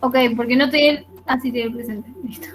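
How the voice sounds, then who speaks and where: Over noticeable background noise, a woman talks in a high pitch with monotone, flat intonation. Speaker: biology teacher. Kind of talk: online class discussion. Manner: fast.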